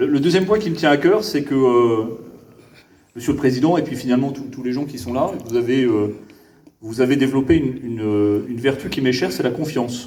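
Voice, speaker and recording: Over noticeable background noise and audible room echo, a man talks at a fairly quick pace in a Parisian accent. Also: medium pitch for a man, ordinary pitch variation. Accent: very Parisian French. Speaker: government official (prefect). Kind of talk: improvised public speech. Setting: gala event with audience. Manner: hesitant, many fillers and repetitions.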